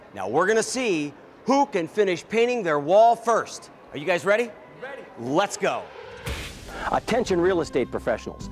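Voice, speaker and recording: There is noticeable background noise as a man talks at a high pitch and a moderate pace. His intonation is lively, with long, frequent pauses. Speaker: TV host. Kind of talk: infomercial presentation.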